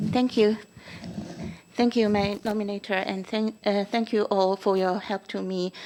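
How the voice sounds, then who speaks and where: The speaker has a non-native accent and talks at a moderate pace. The intonation is monotone and flat. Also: woman, medium pitch for a woman. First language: not English. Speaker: school board trustee. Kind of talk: acceptance speech. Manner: halting.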